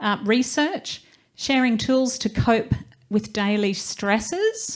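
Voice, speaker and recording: In a very clean recording with a silent background, a woman speaks with a New Zealand accent. Her tone is animated, with ordinary pitch variation. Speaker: motivational speaker and network founder. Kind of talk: live event speech.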